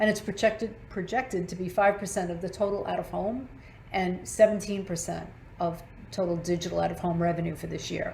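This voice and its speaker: Talking at a fairly quick pace, a woman with vocal fry keeps a medium pitch and fairly even intonation. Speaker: marketing executive presenting. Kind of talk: webinar presentation. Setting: online webinar. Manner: fast.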